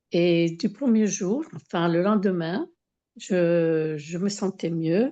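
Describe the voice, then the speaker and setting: Against a quiet background, a woman with a fairly low pitch and a dark, mellow tone speaks at a very slow pace with ordinary pitch variation. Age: 70s. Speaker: testimonial giver with autoimmune diseases. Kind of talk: testimony. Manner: halting, many hesitations.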